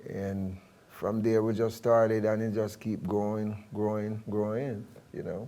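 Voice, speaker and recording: A man with a Jamaican accent speaks at a fairly slow pace in a fairly low pitch. His intonation is monotone and flat, with a dark, mellow tone. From Jamaica, Kingston. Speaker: reggae bandleader and guitarist. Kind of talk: interview. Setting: studio.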